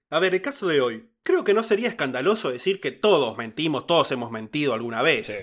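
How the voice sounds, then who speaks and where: Male voice with a Rioplatense accent and very wide pitch swings, on a very clean recording with a silent background. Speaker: podcast host narrating true crime cases. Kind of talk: casual chat; storytelling narration of a true crime case.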